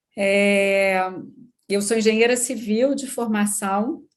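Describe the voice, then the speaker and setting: A woman talks with a Minas Gerais accent. Her pace is very slow. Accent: Minas Gerais (mineiro). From Brazil, Minas Gerais. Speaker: business executive. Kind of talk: interview podcast.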